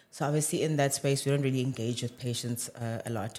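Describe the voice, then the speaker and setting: A man with a South African accent, medium in pitch, at a very fast pace. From South Africa, Johannesburg. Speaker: medical doctor. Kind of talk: casual chat.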